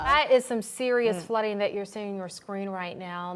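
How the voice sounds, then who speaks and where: Her pitch sits at a medium level and varies in an ordinary way. The woman uses a normal speaking voice. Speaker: news anchor. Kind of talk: TV news anchor read.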